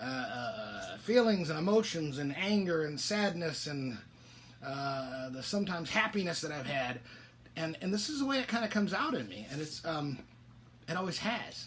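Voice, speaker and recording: With noticeable background noise and audible room echo, a man talks at a moderate pace in a fairly high pitch, his voice making very wide pitch swings. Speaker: author and biker club member hosting a weekly show. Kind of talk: casual solo monologue. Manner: halting, stammering.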